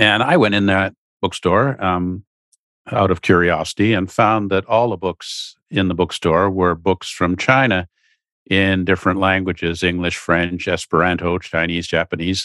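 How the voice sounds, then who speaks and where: Against a quiet background with dry, close sound and no echo, a man with a Canadian accent talks at a moderate pace, his very deep, low voice bright and sharp in tone with fairly even intonation. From Canada, Ottawa. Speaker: China policy expert. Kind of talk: interview.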